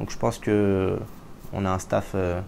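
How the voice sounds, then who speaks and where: The man's fairly low voice stays monotone and flat. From France, moved to Israel at 15. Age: 20s. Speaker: assistant football coach and interpreter. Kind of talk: interview. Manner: hesitant, with fillers.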